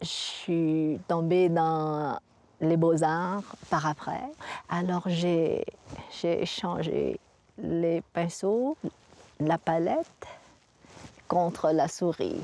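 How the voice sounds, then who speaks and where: Pausing long and often, a woman with a Vietnamese accent and a fairly low, dark and mellow voice keeps her loudness very even and her intonation fairly even. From Vietnam, raised in Montreal. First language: Vietnamese (speaking French). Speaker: visual artist. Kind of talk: interview. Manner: halting.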